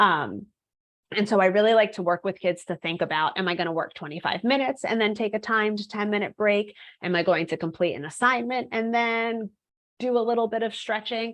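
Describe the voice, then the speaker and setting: Against a quiet background, a woman talks at a fairly quick pace with a fairly high pitch and ordinary pitch variation. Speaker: executive functioning coach presenting a webinar. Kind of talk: webinar presentation. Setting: online webinar. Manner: fast.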